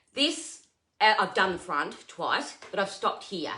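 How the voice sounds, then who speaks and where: The speech is loud and comes at a fairly slow pace. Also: woman. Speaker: furniture painter and content creator. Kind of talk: live stream painting tutorial.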